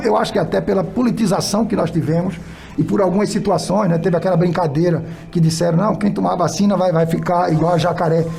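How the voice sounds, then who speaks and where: A high-pitched man speaks with ordinary pitch variation. Music plays behind him, and room echo is audible. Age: 60s. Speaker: municipal health secretary. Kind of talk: radio interview. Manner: halting, with frequent repetitions and fillers.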